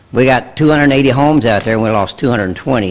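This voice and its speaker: Noticeable background noise runs under the recording. A man talks with ordinary pitch variation. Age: 70s. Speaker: local resident giving public comment. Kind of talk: public comment at a township meeting.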